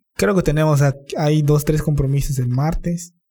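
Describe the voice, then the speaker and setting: Somewhat breathy, the man's voice has a fairly high pitch. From Campeche, Mexico (Calkiní). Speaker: musician. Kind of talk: casual chat.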